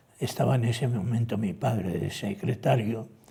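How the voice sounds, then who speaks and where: A somewhat breathy voice with a dark, mellow tone. It moves at a fairly slow pace. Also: man. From Spain, Ciudad Real (La Mancha). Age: 90s (born 1930). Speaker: retired theology professor. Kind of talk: TV interview.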